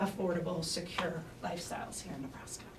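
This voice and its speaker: Through audible room echo and noticeable background noise, a woman speaks at a fairly low pitch with fairly even intonation. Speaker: researcher presenting demographics. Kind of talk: conference presentation. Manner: fast.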